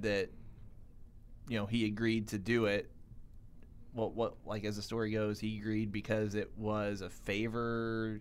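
At a moderate pace, a man with an American accent talks in a normal speaking voice. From US South. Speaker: podcast co-host. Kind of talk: casual chat.

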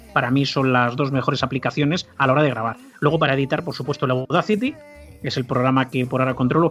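Against noticeable background noise, a man rattles along at a very fast pace in a medium pitch with fairly even intonation. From Spain, Barcelona. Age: 50s. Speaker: history podcaster. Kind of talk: casual interview chat.

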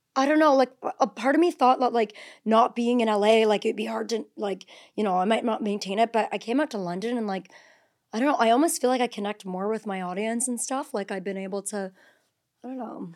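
In a very clean recording with a silent background, a woman with a normal speaking voice talks at a fairly quick pace, using a fairly high pitch and ordinary pitch variation. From northern Ontario, Canada. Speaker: reality TV personality and content creator. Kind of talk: casual chat.

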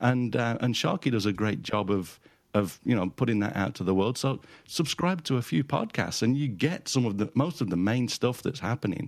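Against a quiet background, a man with a British accent speaks with lively intonation. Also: medium pitch for a man, moderate pace. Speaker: photographer and podcaster. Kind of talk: casual chat.

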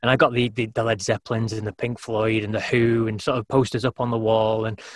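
A man's very fast, somewhat breathy medium-pitched voice with a British accent, dry and close with no echo. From UK. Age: 40s. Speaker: podcaster and former radio presenter. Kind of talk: casual interview chat.

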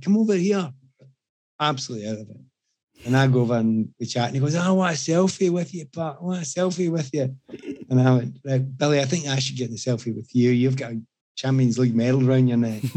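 A man with a strong Scottish accent, a medium pitch, lively intonation and a fairly quick pace. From Scotland. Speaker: podcast guest telling anecdotes. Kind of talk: casual chat. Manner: animated storytelling.

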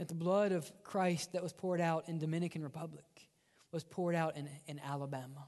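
A man speaks with a Mississippi accent at a high pitch. His pace is fairly quick and his intonation fairly even. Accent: Southern US (Mississippi). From US South, Mississippi. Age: young. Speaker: pastor. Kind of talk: sermon. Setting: church.

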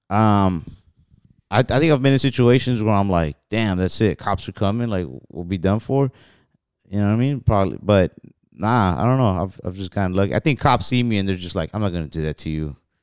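In a very clean recording with a silent background and a dry, close sound with no echo, a man speaks at a fairly low pitch. His pace is fairly quick and his intonation lively. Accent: American. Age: 20s. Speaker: comedian. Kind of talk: casual chat.

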